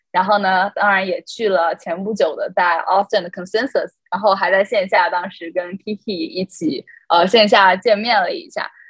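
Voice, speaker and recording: A woman speaks at a medium pitch with a somewhat breathy voice, recorded dry and close with no echo. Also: ordinary pitch variation, moderate pace. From China. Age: 20s. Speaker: student intern journalist. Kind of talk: casual chat.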